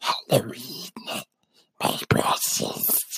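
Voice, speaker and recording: A man uses a gravelly, raspy put-on character voice. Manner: grindy, spooky.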